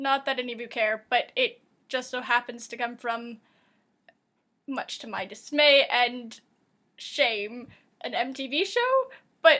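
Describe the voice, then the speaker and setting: Raised, projected voice of a woman, high-pitched with a bright, sharp tone at a fairly slow pace, in a very clean recording with a silent background. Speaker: vlogger. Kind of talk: casual vlog monologue. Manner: rambling, animated.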